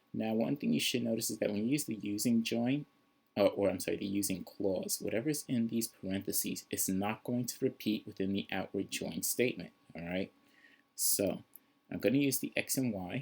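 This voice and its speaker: Pitched fairly low, a man's voice shows ordinary pitch variation. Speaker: programming teacher. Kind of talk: tutorial. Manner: fast.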